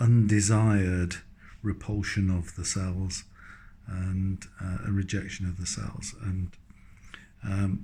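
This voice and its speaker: Very slow and broken by long, frequent pauses, a man's voice sounds very deep and low, somewhat breathy, and dark and mellow in tone. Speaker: patient receiving cancer treatment. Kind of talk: video diary talk to camera. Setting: hospital room. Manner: monotone; hesitant, many fillers.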